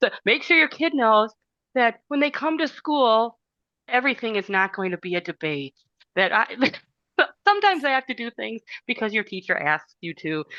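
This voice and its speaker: A woman with a Wisconsin accent speaks at a fairly high pitch with very wide pitch swings and a bright, sharp tone, leaving long, frequent pauses in a dry, close sound with no echo. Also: moderate pace. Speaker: teacher. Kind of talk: casual discussion.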